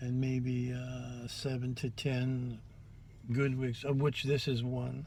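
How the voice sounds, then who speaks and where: The man's tone is dark and mellow, with some breathiness. His voice carries audible echo from the room. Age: 70s. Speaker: drag makeup vlogger. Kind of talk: tutorial. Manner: halting.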